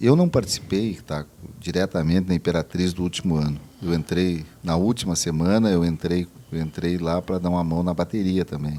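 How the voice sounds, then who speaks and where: This man's voice is very deep and low, with a dark, mellow tone. He keeps a moderate pace and fairly even intonation. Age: 60s. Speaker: city councillor. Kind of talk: casual chat.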